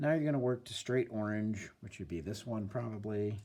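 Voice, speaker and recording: A man speaks at a fairly quick pace in a dark, mellow tone. His pitch varies in an ordinary way. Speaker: art teacher. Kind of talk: tutorial. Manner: casual, hesitant with fillers.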